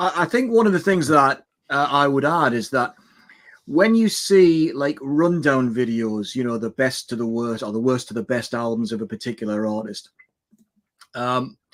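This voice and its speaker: A man with an ordinary speaking voice, medium pitch, lively intonation and a moderate pace. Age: 60s. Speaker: music channel creator. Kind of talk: casual chat.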